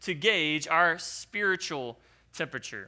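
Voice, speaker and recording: In a raised, projected voice, a man speaks with a bright, sharp tone and ordinary pitch variation. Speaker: preacher. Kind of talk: sermon; fervent prayer. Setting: church. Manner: earnest, reverent, fervent; deliberate, emphatic preaching.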